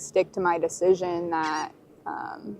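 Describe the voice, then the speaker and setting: The speaker has a Southern US accent and monotone, flat intonation. Noticeable background noise sits behind the voice. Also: woman. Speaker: documentary interviewee, person in addiction recovery. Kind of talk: personal testimony. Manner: hesitant, with many fillers.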